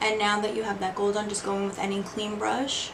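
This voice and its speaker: A quiet woman's voice at medium pitch and a moderate pace, with fairly even intonation, audible room echo and noticeable background noise. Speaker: beauty vlogger. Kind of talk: makeup tutorial. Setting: bedroom. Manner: quiet, hushed.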